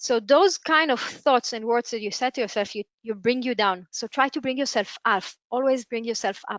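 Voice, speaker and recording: A woman with a non-native accent and a high voice, at a moderate pace with ordinary pitch variation and hardly any pauses. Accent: non-native English, audible. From Israel. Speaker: entrepreneur and webinar speaker. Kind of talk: webinar talk. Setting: online webinar. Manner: halting, with self-corrections.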